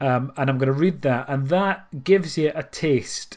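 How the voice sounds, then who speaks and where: A man speaks with a Scottish accent. His pace is moderate and his pitch variation ordinary. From Scotland. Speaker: podcast host. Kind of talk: casual chat. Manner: hesitant, many fillers.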